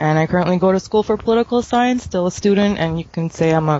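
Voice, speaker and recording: A woman speaks very fast with ordinary pitch variation. Background noise is noticeable. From Canada. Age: 20s. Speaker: political science student. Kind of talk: self-introduction on a panel.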